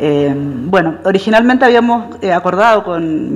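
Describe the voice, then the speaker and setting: Through noticeable background noise, a woman with a Chilean accent speaks at a medium pitch. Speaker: professor. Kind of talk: lecture. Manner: fast.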